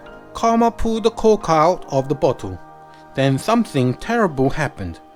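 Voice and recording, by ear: Lively intonation in a natural read-aloud voice.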